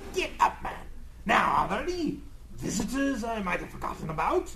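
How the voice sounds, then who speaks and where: A man puts on a character voice pitched extremely high. He talks at a moderate pace over clear background noise. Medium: audio drama. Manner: flustered, excitable.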